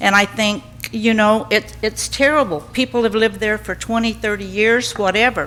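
Over noticeable background noise, a woman with an American accent talks at a moderate pace, her fairly high voice showing ordinary pitch variation. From Southern California. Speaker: resident speaking at public comment. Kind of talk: public comment at council meeting. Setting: city council meeting.

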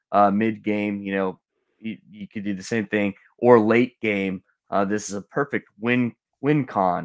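Recorded with a dry, close sound and no echo, a man speaks at a fairly slow pace. His fairly low voice has fairly even intonation. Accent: American. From US South, Florida Panhandle. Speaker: card game player and judge. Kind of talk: casual livestream discussion. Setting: remote call into livestream. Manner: halting.

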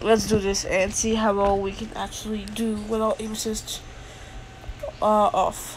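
Against noticeable background noise, a woman talks at a fairly slow pace in a flat monotone. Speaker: gamer. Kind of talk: gameplay commentary. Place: home room.

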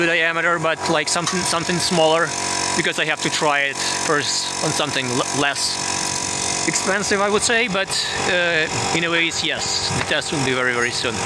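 Loud background noise runs under speech at a moderate pace that has ordinary pitch variation and long, frequent pauses. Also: man. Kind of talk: casual vlog chat. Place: garden. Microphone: phone near.

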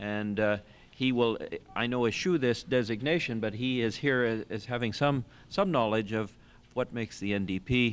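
Moving at a moderate pace, the man's pitch varies in an ordinary way. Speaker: session moderator. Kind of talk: formal speaker introduction. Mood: light, dry humor. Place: meeting room.

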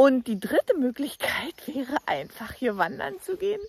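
A woman speaks at a fairly slow pace in a high pitch. The sound is dry with no echo. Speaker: travel vlogger. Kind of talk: casual vlog chat. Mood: cheerful, laughing. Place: waterside. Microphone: phone near.

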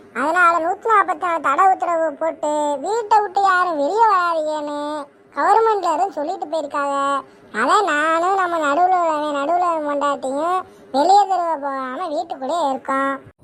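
A woman performs a cartoonish character voice. Her pitch is extremely high. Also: moderate pace. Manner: chatty, rustic.

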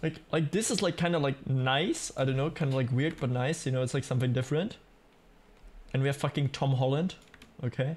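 Somewhat breathy speech at a fairly quick pace, with ordinary pitch variation. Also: man, fairly high pitch for a man. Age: 20s. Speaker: gaming streamer. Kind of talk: casual live-stream chat while gaming. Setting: home streaming setup with microphone. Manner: animated. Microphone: studio mic.

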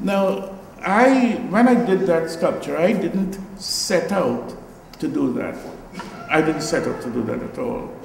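A man speaks at a very slow pace with a high pitch. Audible room echo and light background noise surround him. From Guyana. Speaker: visual artist. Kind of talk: artist talk before an audience. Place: hall.

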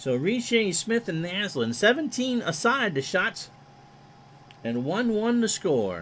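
This man talks at a very slow pace in a high voice, his pitch swinging very widely. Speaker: streamer doing play-by-play of a simulated retro hockey game. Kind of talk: live play-by-play hockey commentary over a video game replay. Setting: live stream from a home studio. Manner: folksy, jokey asides between plays.

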